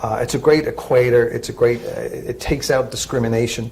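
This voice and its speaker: A man talks at a very fast pace with an Irish accent. His intonation is lively. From Ireland. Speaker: credit union executive. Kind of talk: interview. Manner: halting, many fillers.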